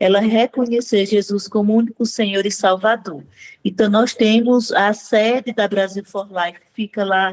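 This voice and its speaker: Medium pitch from a woman with a northeastern Brazilian accent, fairly slow, in a monotone, flat intonation. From Northeast Brazil. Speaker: maternity consultant and pro-life activist. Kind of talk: interview. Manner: halting, with frequent fillers.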